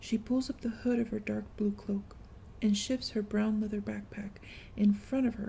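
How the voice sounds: The intonation stays fairly even throughout this natural reading voice.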